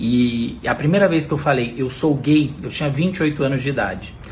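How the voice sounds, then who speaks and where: There is audible room echo as a man of medium pitch talks at a moderate pace with ordinary pitch variation. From interior of São Paulo state, Brazil. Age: 30s. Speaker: TV reporter. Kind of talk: personal testimony. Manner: hesitant, many fillers.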